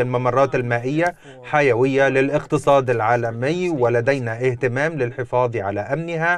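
The voice comes at a fairly slow pace with ordinary pitch variation over light background noise, in a dry sound with no echo. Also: man. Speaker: navy spokesperson. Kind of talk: TV news interview. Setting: remote video link. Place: studio. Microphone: lapel.

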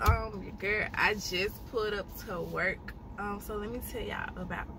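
A woman talks at a moderate pace with big swings in loudness. The sound is dry with no echo, and background noise is noticeable. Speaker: vlogger. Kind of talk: casual vlog chat. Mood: happy, amused storytelling. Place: car. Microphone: phone near.

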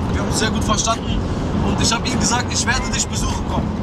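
Music plays in the background. A man is speaking. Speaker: vlogger passenger. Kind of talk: casual vlog chat. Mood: cheerful, joking. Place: car.

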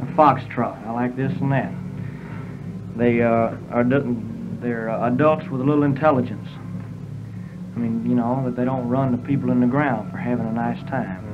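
With clear music in the background, a man speaks at a moderate pace and with fairly even intonation, leaving long, frequent pauses. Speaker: interviewee. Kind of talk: interview answer. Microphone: old recording.

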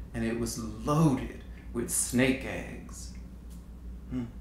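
A man speaks in audible room echo. Light background noise is present. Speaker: storyteller. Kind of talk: spoken story monologue. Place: studio.

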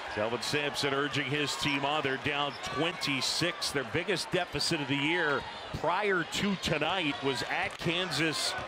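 A man's fairly high voice at a fairly slow pace, very even in loudness, with noticeable background noise. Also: ordinary pitch variation. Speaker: play-by-play commentator. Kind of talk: live sports commentary. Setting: arena broadcast, basketball game. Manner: clipped, excited, call-by-call delivery.

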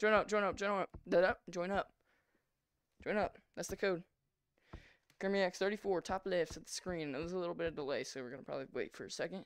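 Against a quiet background with a dry sound with no echo, a woman speaks in an animated tone with ordinary pitch variation and long, frequent pauses. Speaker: gaming streamer. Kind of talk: live gameplay stream chat. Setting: home VR setup, live stream. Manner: fast talker. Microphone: headset.

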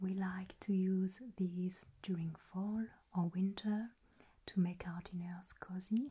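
A woman's somewhat breathy voice has a dark, mellow tone and monotone, flat intonation at a very slow pace. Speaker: crafts host. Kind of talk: calm tutorial chat. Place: home room.

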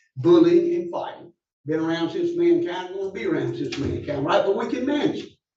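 A man talks with audible echo from the room around him. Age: 70s. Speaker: public commenter at county meeting. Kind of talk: public comment. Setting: county commission meeting.

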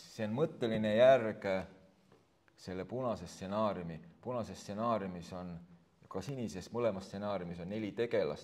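Fairly low in pitch, a man speaks in an unremarkable speaking voice. His pitch varies in an ordinary way. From Estonia, Võru County. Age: 50s. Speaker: author and politician. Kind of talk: book launch conversation.

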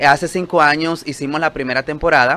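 A man's fairly high voice, bright and sharp in tone, with ordinary pitch variation. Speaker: TV producer. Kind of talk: promotional interview chat. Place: studio.

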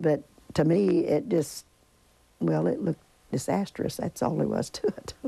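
In a southern Indiana accent, a woman talks at a fairly slow pace. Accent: Southern Indiana rural American. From Griffin, Indiana. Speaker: tornado survivor. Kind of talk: interview answer. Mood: somber recollection. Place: home room. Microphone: lapel.

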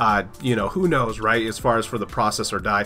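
A man's fairly quick speech plays with music in the background. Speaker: PC tech YouTuber. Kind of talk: casual tech news talk.

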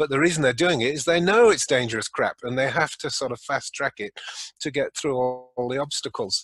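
A man with a British accent talks at a fairly quick pace in a fairly high pitch, with ordinary pitch variation and a dry sound with no echo. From England. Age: 70s. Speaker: retired physician; podcast guest. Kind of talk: interview. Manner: jovial, laughs often. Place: home room. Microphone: webcam.

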